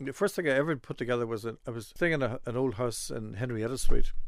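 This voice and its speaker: Here a man talks with an Irish accent. His pace is very fast. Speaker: flute player and music scholar. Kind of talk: interview.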